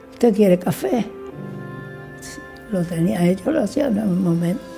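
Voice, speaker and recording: With faint music in the background, a woman talks with lively intonation. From Canary Islands, Tenerife. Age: 80s+. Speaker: baker. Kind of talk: interview answer. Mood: warm, reminiscing. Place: shop.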